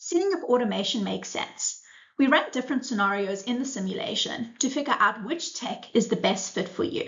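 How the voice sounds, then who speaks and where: The speaker moves at a fairly quick pace with very wide pitch swings. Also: woman, high pitch for a woman. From South Africa. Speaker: supply chain simulation product manager. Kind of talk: conference presentation.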